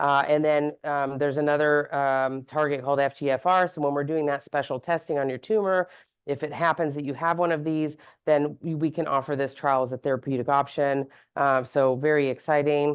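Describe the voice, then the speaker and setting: A woman talks at a fairly quick pace in a very deep, low voice with monotone, flat intonation. The background is quiet. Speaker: physician, gynecologic oncologist. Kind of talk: medical presentation to an audience. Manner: fast; casual with many fillers.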